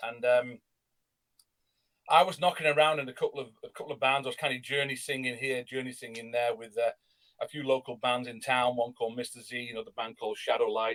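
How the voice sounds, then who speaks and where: Rushing at a very fast pace, a man with an English accent keeps a medium pitch and fairly even intonation, though his loudness swings a great deal. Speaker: rock singer. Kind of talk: interview.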